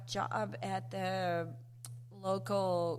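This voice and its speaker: A woman talks with a Spanish accent, and the room echo is audible. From Mexico, raised in the US as a migrant farmworker child. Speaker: event venue coordinator. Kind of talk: interview guest.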